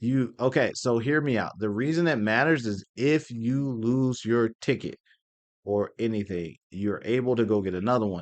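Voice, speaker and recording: A man's medium-pitched voice with an American accent, moderate pace and ordinary pitch variation, against a quiet background. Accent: Southern US country accent, comes out briefly. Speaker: anime convention YouTuber. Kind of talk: casual Q&A commentary.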